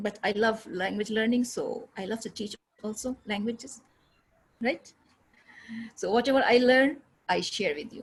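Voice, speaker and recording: This voice swings widely in loudness, sounds somewhat breathy, moves at a moderate pace with long and frequent pauses, and has ordinary pitch variation. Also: woman, fairly high pitch for a woman. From India, Aligarh (Uttar Pradesh). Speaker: English teacher. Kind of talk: online class. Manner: halting.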